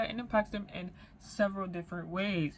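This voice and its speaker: This woman speaks at a moderate pace. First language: French. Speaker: YouTuber. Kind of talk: commentary vlog. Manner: halting, with fillers and repetitions. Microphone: no external mic today, built-in mic.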